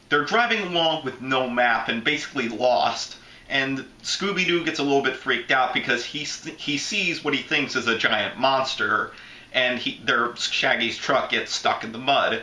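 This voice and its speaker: Over noticeable background noise and audible room echo, a man with an American accent speaks at a moderate pace in a fairly high pitch with ordinary pitch variation. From Florida. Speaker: YouTube movie reviewer. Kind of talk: casual movie review commentary.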